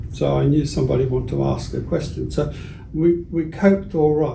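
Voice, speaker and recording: Noticeable background noise and audible room echo surround a man speaking with an Australian accent. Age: 80s+. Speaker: retired school teacher. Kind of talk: interview.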